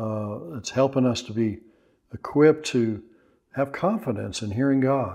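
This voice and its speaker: A man talks at a fairly slow pace with a dark, mellow tone. The background is quiet. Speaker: pastor and Bible teacher. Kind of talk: sermon-style teaching to camera. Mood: earnest, warm. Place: home room. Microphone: lapel.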